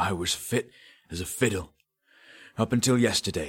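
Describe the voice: A man does a put-on character voice, raspy and wheezy at a fairly low pitch. He speaks at a moderate pace with lively intonation.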